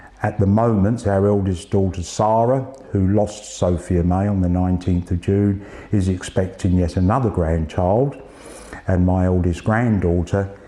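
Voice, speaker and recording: Over noticeable background noise, a man speaks at a fairly slow pace with a very deep, low pitch and fairly even intonation. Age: 60s. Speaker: cancer patient. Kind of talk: testimony.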